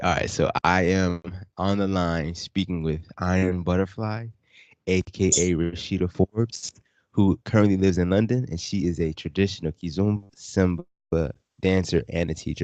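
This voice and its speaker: An American-accented man with a very deep, low pitch speaks at a moderate pace with fairly even intonation. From US South (Virginia). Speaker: podcast host. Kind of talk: casual interview.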